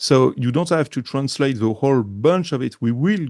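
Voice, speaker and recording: Against a quiet background, a man with a strong French accent speaks at a medium pitch and a moderate pace, his pitch varying in an ordinary way. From France. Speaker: journalist, editor. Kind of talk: interview. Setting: indoors in a thick-walled castle.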